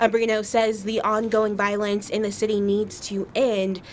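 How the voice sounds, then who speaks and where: Over noticeable background noise, a woman with a fairly high pitch speaks at a moderate pace in a monotone, flat delivery. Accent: American. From Atlanta area, US South. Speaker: TV news anchor and reporter. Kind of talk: news package voice-over.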